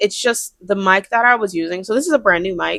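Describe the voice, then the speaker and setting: A woman's fairly quick, lively speech in a dry, close sound with no echo. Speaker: crochet artist and vlogger. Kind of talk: casual vlog talk to camera. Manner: loud, projects voice; fast, chatty with many fillers. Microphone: brand new mic.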